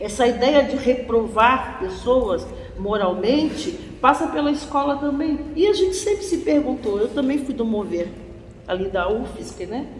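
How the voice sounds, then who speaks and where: A woman's high voice with very wide pitch swings at a fairly slow pace, with audible room echo and noticeable background noise. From Brazil, Florianópolis. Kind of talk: lecture.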